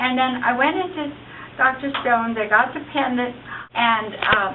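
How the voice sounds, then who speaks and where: Over noticeable background noise and audible room echo, a woman talks at a moderate pace in a high pitch with lively intonation. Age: 60s. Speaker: product user giving testimonial. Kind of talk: testimony.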